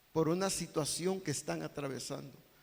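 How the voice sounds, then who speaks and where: A man with vocal fry speaks at a fairly high pitch, with ordinary pitch variation. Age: 60s. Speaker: pastor. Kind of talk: sermon.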